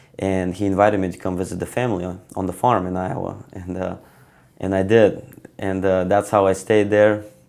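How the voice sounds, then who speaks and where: Speaking in a Bulgarian accent, a man with a very deep, low pitch talks at a fairly quick pace in a monotone, flat intonation. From Bulgaria, Stara Zagora. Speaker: wrestler. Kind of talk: interview. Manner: hesitant, many fillers.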